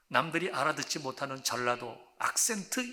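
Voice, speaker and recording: A man's bright, sharp voice, fairly high in pitch, with very wide pitch swings. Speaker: pastor. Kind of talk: sermon.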